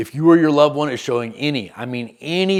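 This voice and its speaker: With a Southern US accent, this man speaks at a moderate pace in a fairly high pitch, his intonation lively. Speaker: recovery coach, former benzodiazepine user. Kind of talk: scripted educational narration.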